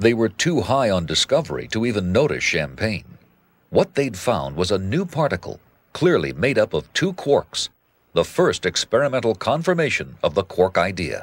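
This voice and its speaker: A man's medium-pitched voice at a moderate pace, with very wide pitch swings and vocal fry, dry and close with no echo on a very clean recording with a silent background. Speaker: documentary narrator. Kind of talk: 1990 TV science documentary narration, scripted and read. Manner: measured, authoritative, formal, steady pace.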